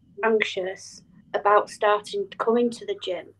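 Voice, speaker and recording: A medium-pitched woman's voice, fairly even in intonation, at a fairly slow pace. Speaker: podcast host. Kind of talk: casual chat.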